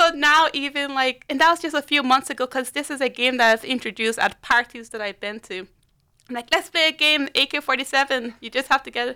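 A woman with a high pitch uses a raised, projected voice with a bright, sharp tone at a fairly quick pace. Her pitch varies in an ordinary way, her loudness swings widely, and the sound is dry and close with no echo. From Liberia and Ireland. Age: young. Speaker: youth worker. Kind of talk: casual chat. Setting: studio.

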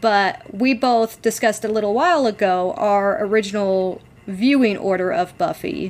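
The woman's voice is unremarkable and fairly high, with lively intonation and very even loudness. She speaks at a moderate pace. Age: 30. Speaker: podcast co-host. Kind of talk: casual chat.

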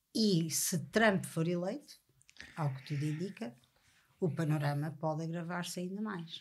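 A woman speaks with a somewhat breathy, fairly low voice. Her pauses are long and frequent. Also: ordinary pitch variation, fairly slow pace. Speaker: podcast host. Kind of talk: interview.

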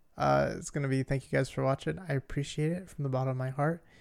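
At a fairly quick pace, a man speaks with a fairly high pitch in a very clean recording with a silent background. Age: 20s. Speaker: podcast co-host, IT help desk worker. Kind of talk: casual chat. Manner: animated.

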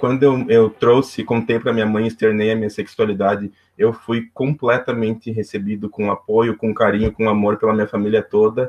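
The man keeps a moderate pace and medium pitch, his intonation monotone and flat, with hardly any pauses. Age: 20s. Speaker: civil engineer and youth club volunteer. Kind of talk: interview. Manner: halting.

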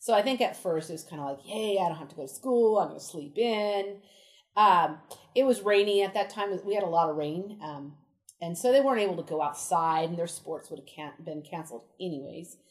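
In an unremarkable speaking voice, a woman talks at a fairly quick pace and fairly low pitch, her intonation lively and her loudness swinging widely. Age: 40s. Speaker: elementary school teacher. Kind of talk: interview. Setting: outdoors.

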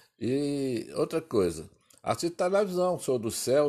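Moderately paced speech from a man, very clean recording, silent background. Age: old. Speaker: grandfather, interviewee. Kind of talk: casual chat.

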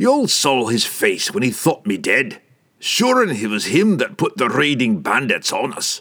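A man's put-on character voice, gruff and growling, fairly high in pitch, at a moderate pace. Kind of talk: fantasy audiobook character voice. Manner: gruff, growling.

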